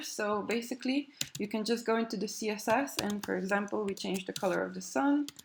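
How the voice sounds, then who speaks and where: The voice carries a non-native accent and ordinary pitch variation. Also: woman. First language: not English. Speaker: web developer. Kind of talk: tutorial. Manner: hesitant, many fillers.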